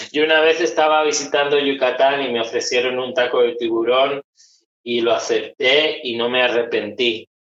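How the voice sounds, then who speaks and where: A fairly high-pitched man speaks at a moderate pace with fairly even intonation. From Spain, Málaga (Andalusia). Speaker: psychologist. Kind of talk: interview conversation.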